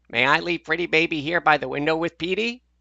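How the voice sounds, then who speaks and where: A man speaks in a put-on character voice. His pitch is fairly high and his pace very fast. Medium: read story.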